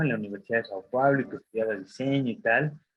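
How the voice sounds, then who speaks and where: This man's voice shows ordinary pitch variation. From Mexico. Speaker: design graduate. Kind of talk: talk to students. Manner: casual, many fillers.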